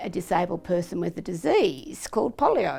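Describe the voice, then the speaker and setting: Music plays in the background as a woman with an Australian accent speaks at medium pitch and a moderate pace with lively intonation. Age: 70s. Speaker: polio survivor. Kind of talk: personal testimony.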